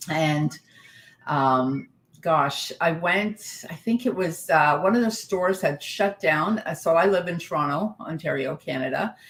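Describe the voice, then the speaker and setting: Fairly slow and lively in intonation, a woman speaks in an unremarkable speaking voice. Her pitch is fairly low. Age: 60s. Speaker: spiritual coach and author. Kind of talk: interview conversation.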